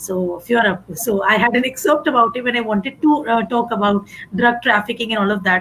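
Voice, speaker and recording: A woman talks with a Gujarati accent over noticeable background noise. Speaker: English teacher. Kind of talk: panel discussion.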